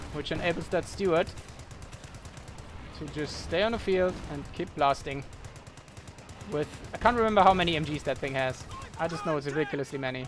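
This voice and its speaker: The speaker has a non-native accent and talks at a fairly quick pace. Noticeable background noise runs underneath. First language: not English. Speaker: game caster. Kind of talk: live commentary. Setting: live stream.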